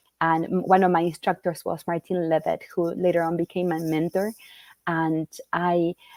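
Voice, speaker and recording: A woman with a Spanish accent, fairly low in pitch, at a moderate pace, her intonation monotone and flat, in a dry, close sound with no echo. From Argentina, Rosario. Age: 40s. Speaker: children's book author. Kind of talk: interview.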